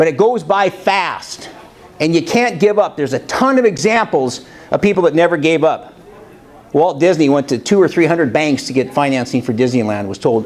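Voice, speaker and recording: Loud and fairly quick, a man's voice swings very widely in pitch. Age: 60s. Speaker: motivational speaker. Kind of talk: motivational talk. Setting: college classroom with audience, no microphone.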